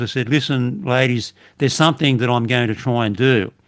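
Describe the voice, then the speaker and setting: Speaking at a fairly quick pace, a man with an Australian accent uses a medium pitch. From Australia, western Sydney. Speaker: retired police officer. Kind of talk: casual chat.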